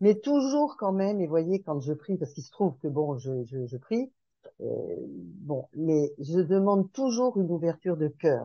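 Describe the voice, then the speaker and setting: A woman's plain, everyday voice, fairly low in pitch, at a fairly slow pace. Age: 60s. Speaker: podcast group participant. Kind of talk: casual group discussion.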